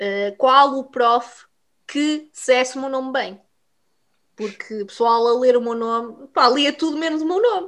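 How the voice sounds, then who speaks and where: A woman's high, bright, sharp voice, animated and with lively intonation, at a fairly slow pace over a quiet background. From Portugal, Vila Real. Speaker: podcast co-host. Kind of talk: casual chat.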